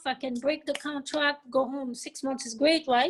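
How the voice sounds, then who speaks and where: This is a woman speaking in a French accent. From France. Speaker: hair salon owner. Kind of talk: interview.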